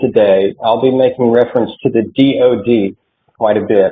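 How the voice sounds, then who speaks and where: A man with a slight Oklahoma accent and a medium pitch. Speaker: military support program consultant. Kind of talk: online presentation. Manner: hesitant, many fillers.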